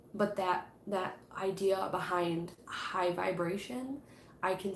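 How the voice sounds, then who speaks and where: Audible room echo and noticeable background noise accompany a woman's voice. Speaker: tarot reader and witchcraft YouTuber. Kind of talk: live stream book club chat. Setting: live stream. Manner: casual, many fillers.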